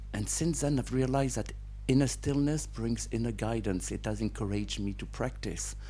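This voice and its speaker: At a moderate pace, a man speaks with audible room echo around him. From France and Britain. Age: 60s. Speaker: satsang participant. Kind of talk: question at spiritual gathering. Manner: halting.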